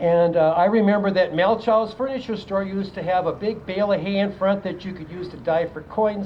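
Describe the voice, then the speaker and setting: Someone with an Upper Midwest accent speaks over noticeable background noise. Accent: Upper Midwest American. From South Dakota, Aberdeen. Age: 70s. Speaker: retired teacher. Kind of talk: public speech.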